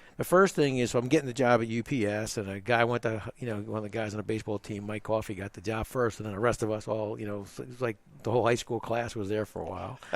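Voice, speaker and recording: An American-accented man talks at a very fast pace with hardly any pauses. His pitch is fairly low, and his intonation stays fairly even. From New Jersey, US. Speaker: retired logistics executive. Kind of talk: interview. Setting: radio studio.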